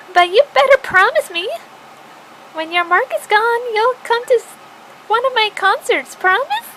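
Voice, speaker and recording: In a put-on character voice, a woman speaks at a moderate pace with an extremely high, squeaky pitch, lively intonation, and long, frequent pauses over clear background noise. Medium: solo performance. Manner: bright, friendly.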